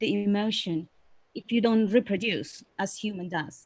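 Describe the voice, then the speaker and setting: A woman with a non-native accent talks at a moderate pace and medium pitch. Her pitch varies in an ordinary way. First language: not English. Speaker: webinar participant asking a question. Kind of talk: Q&A in a webinar. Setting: online webinar. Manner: halting, many fillers.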